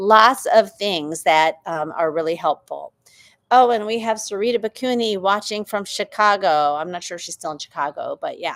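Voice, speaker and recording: On a very clean recording with a silent background, a woman with an ordinary speaking voice and medium pitch talks at a moderate pace with lively intonation and big swings in loudness. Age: 50s. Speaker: doctor hosting a hormone health Q&A. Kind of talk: live Q&A answering viewer comments. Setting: livestream on YouTube and TikTok. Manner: conversational with frequent fillers.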